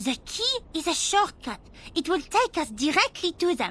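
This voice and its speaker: Putting on a character voice, a woman speaks at a moderate pace in an extremely high pitch with very wide pitch swings. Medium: video game. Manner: brisk, commanding.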